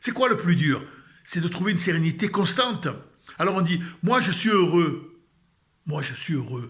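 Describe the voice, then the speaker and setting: A man with a Marseille accent speaks at a high pitch with lively intonation. Audible room echo surrounds his voice. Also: big swings in loudness. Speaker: religious video blogger. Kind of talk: spiritual talk. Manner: calm.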